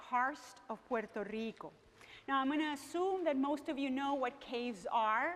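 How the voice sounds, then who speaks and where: In a high pitch with ordinary pitch variation, a woman speaks at a moderate pace with a slight Venezuelan accent. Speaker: professor. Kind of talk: lecture. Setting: museum gallery with audience. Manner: animated.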